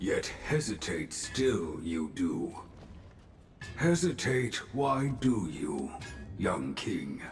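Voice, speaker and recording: A man uses a put-on character voice with a calm tone, speaking at a very slow pace with long, frequent pauses. Background noise is clearly audible. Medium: video game. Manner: calm, inverted sentence order.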